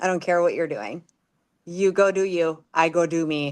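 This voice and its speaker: A woman speaks with a Minnesotan accent at a moderate pace, her pitch fairly low and her intonation fairly even. The background is quiet. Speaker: distillery guest. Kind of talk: casual chat.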